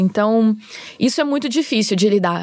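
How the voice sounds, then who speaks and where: Dry and close with no echo, a woman's fairly quick speech comes with noticeable background noise. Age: 30s. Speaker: screenwriter. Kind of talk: casual chat.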